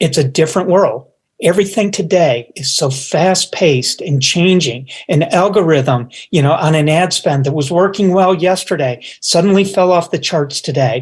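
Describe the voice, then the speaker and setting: With an American accent, the speaker keeps a moderate pace, ordinary pitch variation and very even loudness. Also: man, high pitch for a man. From Upstate New York. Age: 60s. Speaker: business executive. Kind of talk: interview. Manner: halting.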